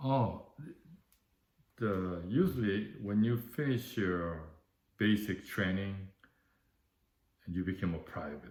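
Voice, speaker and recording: Speaking very slowly with long, frequent pauses, a man with a Korean accent uses a fairly low pitch and ordinary pitch variation, and audible room echo surrounds his voice. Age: 70s. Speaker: war veteran. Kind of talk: oral history interview. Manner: halting.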